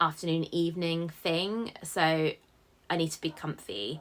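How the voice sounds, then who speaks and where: A woman speaks with a British accent in a very deep, low pitch. Her intonation stays fairly even. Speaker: sewing vlogger. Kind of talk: casual vlog chat.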